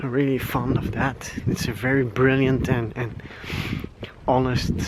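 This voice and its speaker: Over noticeable background noise, a man with a Flemish accent talks at a medium pitch in a monotone, flat intonation. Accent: Flemish Dutch accent in English. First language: Dutch. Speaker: vlogger. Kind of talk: casual vlog rant. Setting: outdoors, walking at night. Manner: halting, many fillers.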